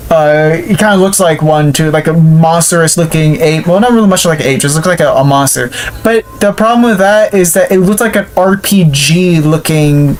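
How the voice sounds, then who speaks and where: Speech moves at a moderate pace with hardly any pauses, set against noticeable background noise. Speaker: gaming YouTuber. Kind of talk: game review commentary. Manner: casual, filler-heavy.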